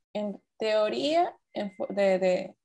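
Her voice, a woman's, has a dark, mellow tone. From Ecuador. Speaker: podcast co-host, designer. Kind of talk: casual chat.

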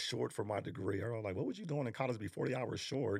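A man's very fast speech at medium pitch, with ordinary pitch variation and vocal fry. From New York, raised in Arlington, Texas. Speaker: basketball coach and trainer. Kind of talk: casual interview chat.

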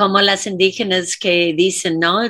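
A woman with an English accent speaks slowly-ish at a medium pitch in a bright, sharp tone, recorded very cleanly against a silent background. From US South, Louisiana. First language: English (speaking Spanish). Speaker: dance teacher and choreographer. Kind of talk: casual chat.

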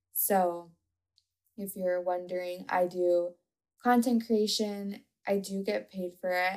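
A soft-spoken woman talks at a very slow pace. Her intonation stays fairly even. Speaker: podcast host and coach. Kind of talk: casual solo monologue. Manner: monotone.

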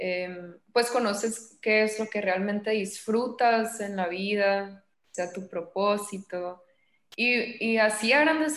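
Her delivery is very slow. This woman's voice sits at a medium pitch. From Mexico, Sinaloa (Los Mochis). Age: 20s. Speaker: psychologist. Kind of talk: interview.

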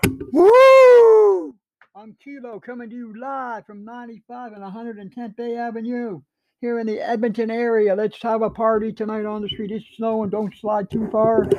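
A man speaks at a high pitch in an animated tone, with big swings in loudness. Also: fairly slow pace, very clean recording, silent background. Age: 60s. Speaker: amateur livestream host. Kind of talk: casual monologue.

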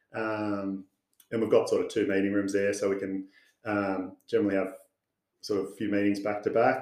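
With an Australian accent, a man speaks at a fairly low pitch and a moderate pace. His intonation is monotone and flat, and he takes long, frequent pauses. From Sydney, Australia. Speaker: financial adviser. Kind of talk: casual interview.

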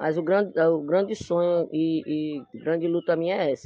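Fairly even intonation marks this speech, delivered at a fairly slow pace. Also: man. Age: 40s. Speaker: party member. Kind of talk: interview.

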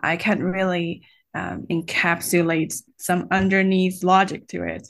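A woman of medium pitch with a Chinese accent, against a quiet background. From China. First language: Mandarin Chinese. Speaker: college teacher and online video host. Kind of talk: interview.

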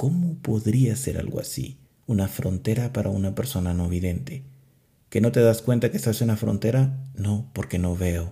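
Calm and dark, mellow in tone, the somewhat breathy voice moves at a moderate pace with lively intonation. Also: man, medium pitch for a man. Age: 30s. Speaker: podcast host. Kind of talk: spiritual talk; guided meditation. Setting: alone in a closed room.

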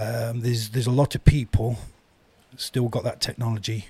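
In an East Midlands accent, a man of medium pitch talks at a fairly quick pace in a monotone, flat intonation, his dark, mellow tone somewhat breathy. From Eastwood, Nottinghamshire, England. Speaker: author. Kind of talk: casual interview chat.

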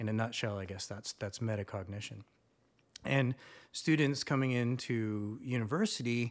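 With ordinary pitch variation, a plain, everyday voice is heard on a very clean recording against a silent background. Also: man. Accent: Canadian. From Canada. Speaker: university instructor. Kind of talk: casual chat.

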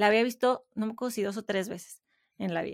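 Recorded very cleanly against a silent background, with a dry, close sound and no echo, a woman uses an ordinary speaking voice, fairly high in pitch with ordinary pitch variation. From Mexico. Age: 30s. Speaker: podcaster and writer. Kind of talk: interview conversation.

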